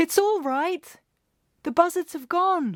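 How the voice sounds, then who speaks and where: Squeaky and extremely high-pitched, this put-on character voice moves at a fairly slow pace. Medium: read story.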